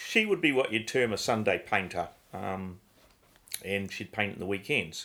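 In a New Zealand accent, the speaker uses a bright, sharp tone at a moderate pace with ordinary pitch variation, in a very clean recording with a silent background. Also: man, fairly low pitch for a man. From New Zealand, Christchurch. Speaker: painter. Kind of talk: interview.

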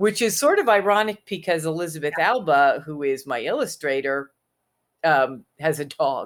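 Lively intonation marks this woman's very deep, low voice. She speaks at a moderate pace. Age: 60s. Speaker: author and witch. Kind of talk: casual chat. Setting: video call.

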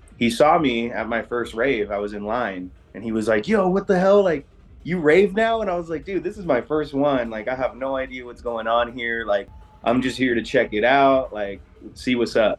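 With music in the background, a man talks at a moderate pace in a medium pitch, his intonation lively. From various US states, mainly San Diego. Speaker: rave crew co-founder. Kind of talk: interview.

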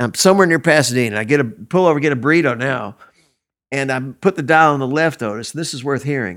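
In a very clean recording with a silent background, a man with a normal speaking voice talks at a fairly quick pace, his medium pitch carrying lively intonation. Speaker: musician. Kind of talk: casual interview chat.

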